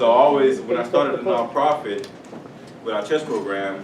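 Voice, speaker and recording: A man with an American accent speaks at a moderate pace with ordinary pitch variation. Audible room echo and noticeable background noise are present. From South Florida, Haitian family. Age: 30s. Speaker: author and mentor. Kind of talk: talk to schoolchildren. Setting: elementary school classroom. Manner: casual, some hesitations.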